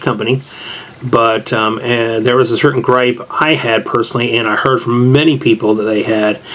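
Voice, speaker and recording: Noticeable background noise sits behind a man with a Southern US accent, medium pitch and a moderate pace. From US South. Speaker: tabletop game reviewer. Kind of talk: casual review monologue. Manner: casual, conversational.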